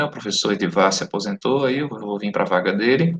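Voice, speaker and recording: Speaking at a moderate pace, a man uses lively intonation in a medium-pitched voice. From southern Brazil, Santa Catarina. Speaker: teacher of occupational safety. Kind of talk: online class lecture. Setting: live online class, recorded. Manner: casual, conversational.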